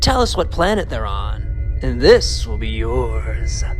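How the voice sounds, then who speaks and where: Over loud background music, a man uses a raspy put-on character voice at a fairly slow pace. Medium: audio drama.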